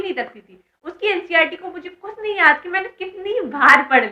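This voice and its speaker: A woman is speaking. Her pace is moderate. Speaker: online educator and exam mentor. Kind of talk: educational vlog talking to students. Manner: casual, chatty.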